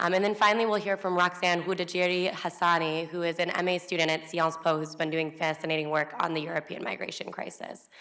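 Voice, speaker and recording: This woman's voice sits fairly low and stays monotone and flat as she speaks very fast. Noticeable background noise is present. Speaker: panel moderator. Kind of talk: panel introduction.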